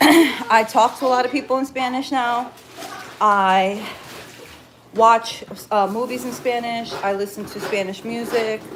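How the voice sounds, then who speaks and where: Over noticeable background noise, a woman with an American accent talks at a fairly slow pace in a fairly high pitch, leaving long, frequent pauses. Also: fairly even intonation. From New Jersey, US. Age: 30s. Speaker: cleaning business owner. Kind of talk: casual live stream chat while cleaning. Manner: chatty, conversational.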